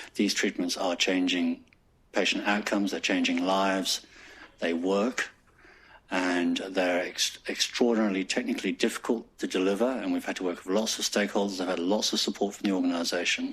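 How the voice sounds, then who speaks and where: A man's very deep, low voice with a slight English accent, a fairly quick pace and monotone, flat intonation. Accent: slightly pompous English. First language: French. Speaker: hospital executive. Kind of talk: staff presentation; casual chat. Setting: staff forum with audience.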